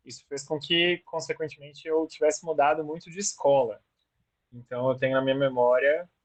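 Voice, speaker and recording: This man has an ordinary speaking voice, pitched fairly high, at a moderate pace. His loudness swings widely. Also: fairly even intonation. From moved around Brazil; born Rio Grande do Sul, teens in Campo Grande. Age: 30s. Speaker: teacher. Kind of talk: oral history interview.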